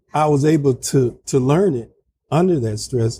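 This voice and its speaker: Somewhat breathy and dark, mellow in tone, a man talks at a fairly slow pace with ordinary pitch variation. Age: 60s. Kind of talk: interview. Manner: halting.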